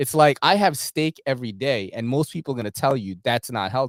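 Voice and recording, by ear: A man speaks at a medium pitch and a fairly quick pace, with lively intonation. The sound is dry and close with no echo.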